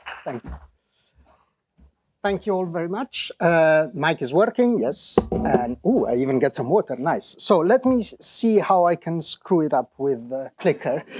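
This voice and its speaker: A man with an Italian accent, high-pitched, with very wide pitch swings and a dry, close sound free of echo. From Italy. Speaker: professor. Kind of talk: conference talk. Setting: stage with audience.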